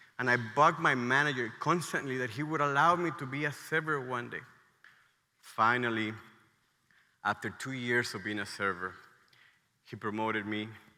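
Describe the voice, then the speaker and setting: With a Mexican accent, a man speaks at a moderate pace in a medium pitch with a bright, sharp tone, leaving long, frequent pauses amid audible room echo. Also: ordinary pitch variation. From Mexico, State of Mexico. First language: Spanish. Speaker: restaurant entrepreneur, conference speaker. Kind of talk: conference talk. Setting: stage with audience.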